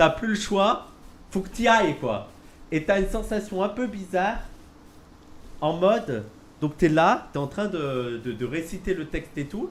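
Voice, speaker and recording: Speaking at a high pitch and fairly slow pace, a man uses lively intonation. He leaves long, frequent pauses. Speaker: streamer. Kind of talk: casual chat.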